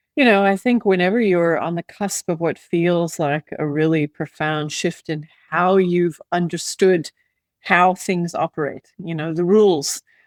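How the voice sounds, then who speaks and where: A woman with an American accent has an unremarkable speaking voice, fairly low in pitch, with fairly even intonation at a fairly slow pace. The sound is dry and close with no echo, on a very clean recording with a silent background. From US Midwest. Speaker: former aid worker. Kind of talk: interview.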